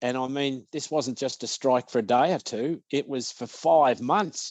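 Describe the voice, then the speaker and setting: With an Australian accent, a man speaks at medium pitch and a fairly slow pace, using ordinary pitch variation. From Australia (Victoria). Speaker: business owner, author and speaker. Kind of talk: podcast interview. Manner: hesitant, many fillers.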